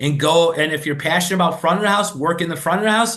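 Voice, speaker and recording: With a Chicago accent, this man talks in a high voice that varies in pitch an ordinary amount. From Chicago, US. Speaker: restaurant franchise executive. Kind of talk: podcast interview. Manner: fast, words blurred together; animated.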